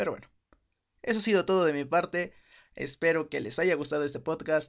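A man speaks at a moderate speed, his pitch varying in an ordinary way, with a quiet background behind him. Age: 20s. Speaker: solo podcast host. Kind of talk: casual monologue.

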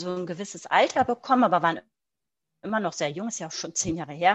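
Over a quiet background, a woman with a plain, everyday voice speaks at a medium pitch with lively intonation. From Germany. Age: 40s. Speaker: mindfulness teacher. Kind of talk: interview. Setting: video call.

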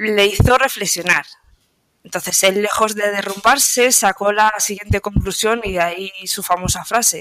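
A woman with an ordinary speaking voice and medium pitch speaks at a moderate pace with fairly even intonation. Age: 20s. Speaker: stoicism content creator. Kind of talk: interview.

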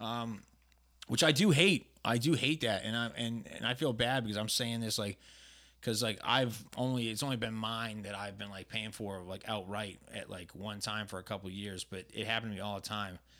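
Fairly low male voice with a bright, sharp tone and ordinary pitch variation on a very clean recording with a silent background. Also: moderate pace. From New England. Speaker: podcast co-host. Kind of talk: casual chat.

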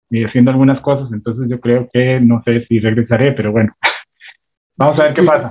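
A man speaks at a moderate pace in an ordinary speaking voice, medium in pitch. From Costa Rica, San José south barrio. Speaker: radio host and comedian. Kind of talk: casual interview.

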